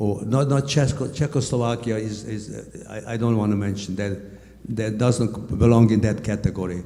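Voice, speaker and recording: Speaking at a fairly quick pace with a Hungarian accent, a man has a fairly low pitch and fairly even intonation, with audible room echo. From Hungary. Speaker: Holocaust survivor. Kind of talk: testimony. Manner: halting.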